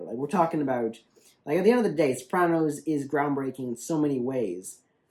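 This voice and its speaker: This man has a medium pitch and speaks at a fairly quick pace. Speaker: online video reviewer. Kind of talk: casual video review monologue. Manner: fast; halting, many restarts and fillers.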